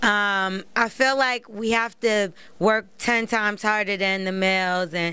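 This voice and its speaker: A woman's bright, sharp voice at a medium pitch keeps fairly even intonation on a very clean recording with a silent background. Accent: American. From New York, Brooklyn. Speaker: rapper. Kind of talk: interview.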